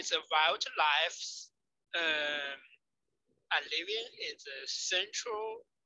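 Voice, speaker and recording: A very slow man's voice in a Chinese accent, bright and sharp in tone, with ordinary pitch variation. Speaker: ecology researcher. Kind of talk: Q&A after a lecture. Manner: halting. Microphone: too quiet, mic far from mouth.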